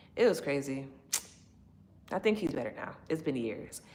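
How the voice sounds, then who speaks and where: A woman is talking. She has a very deep, low pitch. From Chicago. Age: 30s. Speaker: livestreamer. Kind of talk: casual livestream chat.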